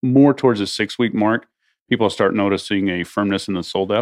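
A man's fairly low, unremarkable speaking voice with fairly even intonation, dry, close sound with no echo, and a quiet background. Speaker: supplement company president. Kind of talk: casual interview.

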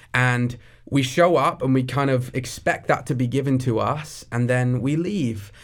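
A man with a southern English accent talks at a medium pitch and a fairly slow pace, with ordinary pitch variation. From southeast England, near Brighton. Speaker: young adults pastor. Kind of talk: interview conversation.

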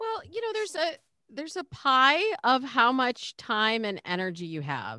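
A woman with a high pitch and a bright, sharp tone projects a raised voice with very wide pitch swings at a moderate pace, recorded very cleanly, dry and close with no echo, against a silent background. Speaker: dating coach. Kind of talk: interview.

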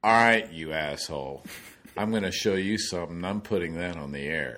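At a moderate pace, a man uses a booming put-on character voice with a very deep, low pitch. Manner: angry, confrontational.

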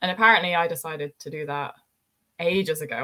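With a British accent, a woman talks fairly quickly in a bright, sharp tone. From UK. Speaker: ski instructor. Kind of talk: casual interview chat.

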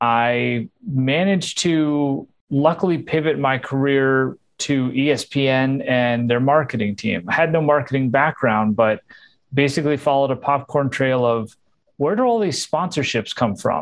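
A man with a plain, everyday voice, fairly slow pace, ordinary pitch variation and very even loudness. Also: fairly high pitch for a man. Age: 40s. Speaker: marketing and creative executive. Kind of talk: interview.

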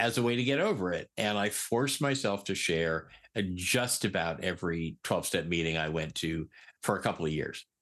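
A man talks at a moderate pace with ordinary pitch variation against a quiet background. His is a plain, everyday voice. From Eastern Connecticut. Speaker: peer recovery specialist. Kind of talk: interview.

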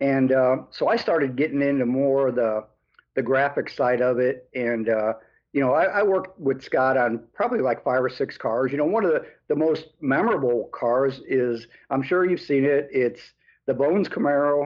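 Speaking at a moderate pace, a man keeps a medium pitch, ordinary pitch variation and very even loudness. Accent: American. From US Midwest, Chicago area. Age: 60s. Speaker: hot rod builder and painter. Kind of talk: casual chat.

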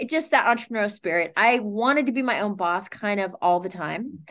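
Here is a woman with a plain, everyday voice and an American accent. Her pitch is fairly high, her pace moderate and her intonation lively. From US West Coast (Sacramento, Northern California). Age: 50s. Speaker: boxing coach and fitness business owner. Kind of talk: casual interview.

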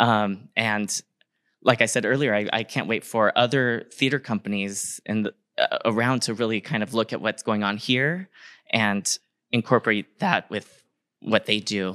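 In a dry, close sound with no echo, a man with an American accent speaks at a moderate pace with medium pitch, ordinary pitch variation, and a bright, sharp tone. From San Diego County, California, Kumeyaay reservation. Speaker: stage actor. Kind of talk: live talkback conversation. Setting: theater stage with live audience.

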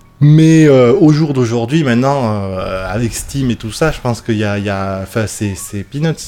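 A man with a medium pitch speaks at a fairly slow pace with lively intonation and hardly any pauses, over noticeable background noise. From southwest France (Bordeaux, Lot-et-Garonne). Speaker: demoscene programmer. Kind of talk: casual chat. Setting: on a couch with beers. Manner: talkative.

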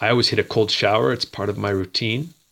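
A man talks very fast with vocal fry, in a Maritime Canadian accent. The recording is very clean, with a silent background. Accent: Canadian (Maritimes). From Canada, Nova Scotia (Dartmouth). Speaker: martial arts instructor and photographer. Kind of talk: interview.

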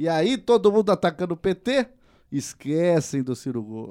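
This man's high voice makes very wide pitch swings as he talks at a fairly slow pace. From Paraná, Brazil. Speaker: podcast host. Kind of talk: casual chat.

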